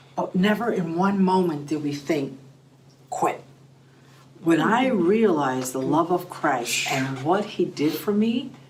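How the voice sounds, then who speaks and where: Fairly low in pitch, a woman speaks at a fairly slow pace with audible room echo and noticeable background noise. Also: lively intonation. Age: 60s. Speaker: pastor. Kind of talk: testimony. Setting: studio.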